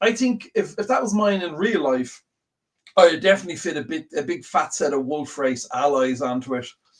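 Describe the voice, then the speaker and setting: A man with an Irish accent speaks in a fairly high pitch, his voice swinging very widely up and down. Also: moderate pace. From Ireland. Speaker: slot car show co-host. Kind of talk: casual chat. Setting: live stream.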